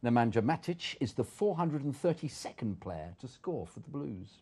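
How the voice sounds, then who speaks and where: A man with a medium pitch speaks at a moderate pace with vocal fry and a dark, mellow tone, his pitch swinging very widely and his loudness rising and falling in big swings. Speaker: voice-over artist. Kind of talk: sports stats read in voice-over style.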